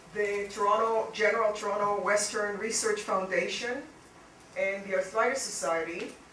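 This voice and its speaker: Noticeable background noise underlies speech delivered at a moderate pace. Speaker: physician researcher hosting symposium. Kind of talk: welcome address at a patient symposium. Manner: soft-spoken.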